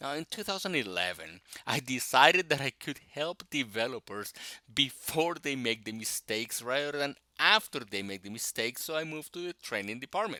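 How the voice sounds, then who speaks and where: On a very clean recording with a silent background, a man with a Spanish accent uses a bright, sharp tone, a fairly high pitch and very wide pitch swings. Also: moderate pace, dry, close sound with no echo. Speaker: technical instructor and tech blogger. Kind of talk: scripted self-introduction.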